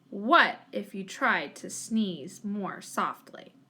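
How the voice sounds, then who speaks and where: Putting on a growling character voice, a woman speaks at a medium pitch. Her pace is very slow. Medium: read story. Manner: cheerful, caring.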